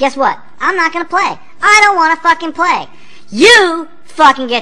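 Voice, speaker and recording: A cartoonish character voice delivers its lines at a moderate pace. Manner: ranting, profane, outraged.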